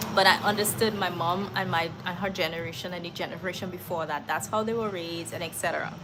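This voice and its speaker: The speech comes at a very fast pace with hardly any pauses. Audible room echo and noticeable background noise fill the recording. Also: woman, fairly low pitch for a woman. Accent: American. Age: 40s. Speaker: life coach. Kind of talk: live stream talk answering chat. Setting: live stream. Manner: animated.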